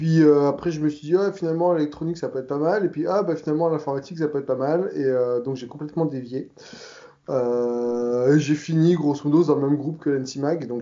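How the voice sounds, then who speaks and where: A man's speech has ordinary pitch variation and moves at a fairly quick pace. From southern France (Provence). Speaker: software developer. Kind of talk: casual interview. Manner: hesitant, many fillers.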